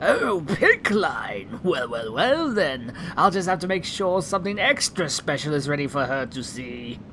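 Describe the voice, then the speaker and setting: Someone uses a put-on character voice at a middle pitch and a moderate pace. Background noise is clearly audible. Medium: audio drama. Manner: flamboyant, fussy.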